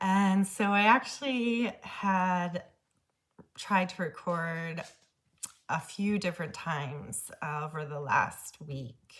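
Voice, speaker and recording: A woman's somewhat breathy voice moves at a very slow pace. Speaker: spiritual medium and self-love vlogger. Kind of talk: personal vlog monologue. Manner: hesitant, many fillers.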